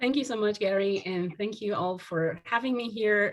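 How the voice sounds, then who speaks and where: This voice moves at a moderate pace with ordinary pitch variation and is an ordinary speaking voice. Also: woman. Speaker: sociology professor. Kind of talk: academic lecture.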